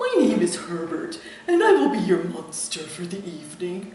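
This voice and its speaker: A breathy, put-on character voice at a middle pitch and moderate pace, with clear echo. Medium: read story. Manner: polite, mild.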